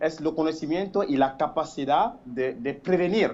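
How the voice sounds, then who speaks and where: A man talks at a fairly slow pace. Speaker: caller. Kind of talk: phone-in opinion. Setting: phone call. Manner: halting, many fillers and repetitions.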